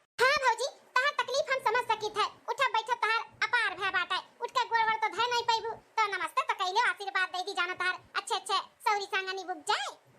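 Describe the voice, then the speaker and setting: A cartoonish character voice comes through squeaky. It moves at a fairly quick pace. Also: woman, extremely high pitch for a woman. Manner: chatty, playful teasing.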